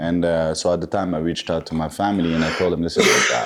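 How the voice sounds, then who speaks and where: A man with a French accent at a very fast pace. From south of France, Moroccan background. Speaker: boxing coach. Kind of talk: podcast interview. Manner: halting.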